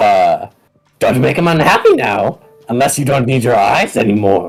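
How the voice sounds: A man's put-on character voice, gravelly and medium in pitch, at a moderate pace over faint music in the background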